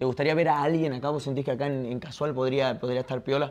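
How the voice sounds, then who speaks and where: With fairly even intonation, the man gets through his words at a very fast pace. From Argentina, Tucumán; Argentina. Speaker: podcast and stream host; podcast, stream host. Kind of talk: casual interview chat. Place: home room.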